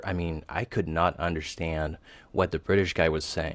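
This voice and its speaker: With a French accent, a man speaks at a moderate pace on a very clean recording with a silent background. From Tahiti, French Polynesia. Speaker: software developer, language learner. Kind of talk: interview. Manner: hesitant, many fillers.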